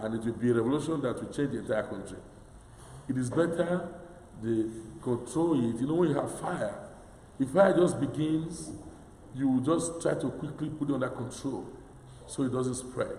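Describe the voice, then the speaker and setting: Against noticeable background noise, a fairly high-pitched man speaks at a moderate pace with ordinary pitch variation and long, frequent pauses. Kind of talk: sermon / homily reflection.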